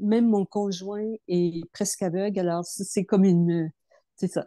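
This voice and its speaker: The tone is dark and mellow, with fairly even intonation at a fairly slow pace. The sound is dry and close with no echo, over a quiet background. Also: woman. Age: 70s. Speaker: program participant. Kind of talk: testimony. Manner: halting.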